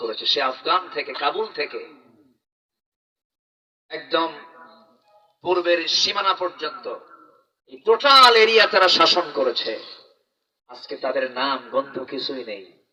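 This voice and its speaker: A man's voice swings widely in loudness, with music playing in the background. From Dhaka, Bangladesh. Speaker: Islamic preacher giving a waz sermon. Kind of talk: public religious sermon to a live crowd. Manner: rhetorical, engaging the audience with questions and call-and-response.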